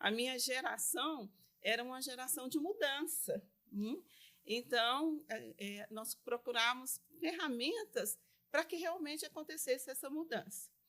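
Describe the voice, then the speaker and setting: A woman with a high pitch and a bright, sharp tone speaks at a fairly slow pace with lively intonation. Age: 60s. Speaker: lawyer and business association vice-president. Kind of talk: interview.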